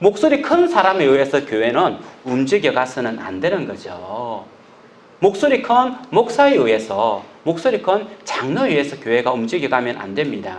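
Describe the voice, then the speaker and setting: A loud man's voice, fairly high in pitch with very wide pitch swings, at a moderate pace amid audible room echo and noticeable background noise. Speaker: pastor. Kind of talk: sermon. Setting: church.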